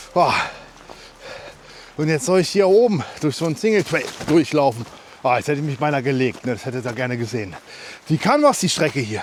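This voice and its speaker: The speaker moves at a fairly quick pace with long, frequent pauses, against noticeable background noise. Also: man, fairly high pitch for a man. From Germany, Harz region. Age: 30s. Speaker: hiking vlogger. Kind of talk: casual vlog monologue while trail running. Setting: outdoors, mountain trail. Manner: halting, many fillers.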